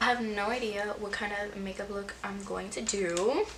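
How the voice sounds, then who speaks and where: A woman's medium-pitched voice moves at a fairly slow pace as noticeable background noise carries on behind it. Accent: Miami. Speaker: beauty vlogger. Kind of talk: casual chat. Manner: animated.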